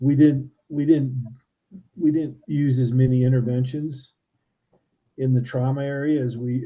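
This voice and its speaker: Dark and mellow in tone, a man's somewhat breathy, medium-pitched voice keeps fairly even intonation at a moderate pace. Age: 60s. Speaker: podcast host. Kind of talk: casual chat.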